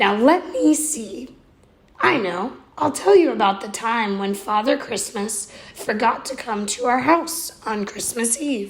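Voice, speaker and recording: In a put-on character voice, a woman speaks raspily at a fairly slow pace with a fairly high pitch. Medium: read story. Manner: warm, reassuring.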